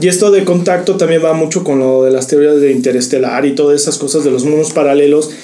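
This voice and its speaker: A man speaks at a fairly quick pace with fairly high pitch and ordinary pitch variation, over noticeable background noise and audible room echo. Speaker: podcast co-host. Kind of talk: casual chat.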